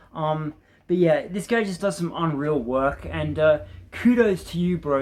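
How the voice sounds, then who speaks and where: Mumbling at a fairly slow pace, a man speaks with an Australian accent and a fairly high pitch. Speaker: gaming YouTuber. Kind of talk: casual vlog talk to camera. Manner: hesitant, many ums and repetitions.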